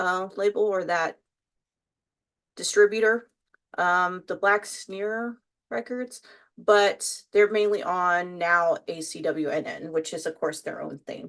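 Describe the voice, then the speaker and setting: With a Texas accent, a woman talks very slowly, leaving long, frequent pauses, and her loudness swings widely. Her pitch varies in an ordinary way over a quiet background. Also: medium pitch for a woman. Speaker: YouTuber, makeup and music content creator. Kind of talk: casual vlog chat while doing makeup. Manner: casual, many fillers and restarts.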